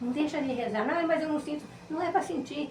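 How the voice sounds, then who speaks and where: With lively intonation and a fairly quick pace, a woman talks amid noticeable background noise and audible room echo. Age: 70s. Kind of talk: interview testimony. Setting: podcast.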